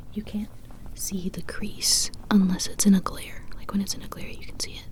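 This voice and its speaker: Whispering in a relaxed tone at a moderate pace, with noticeable background noise behind it. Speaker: ASMR content creator. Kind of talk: ASMR soft-spoken talk to camera. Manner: soft-spoken, relaxed, chatty.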